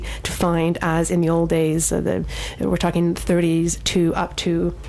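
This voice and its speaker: A woman over noticeable background noise. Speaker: radio show host. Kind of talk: radio show hosting, casual.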